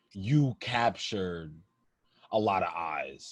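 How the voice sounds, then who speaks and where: His voice has a somewhat breathy quality. The man speaks with an American accent. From Minnesota. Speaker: podcast host. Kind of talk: casual interview chat.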